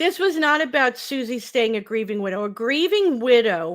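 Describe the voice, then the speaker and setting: Her voice is high in pitch for a woman. She talks at a fairly slow pace. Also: very clean recording, silent background. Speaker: true crime commentator. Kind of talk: opinion commentary monologue. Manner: sarcastic, emphatic.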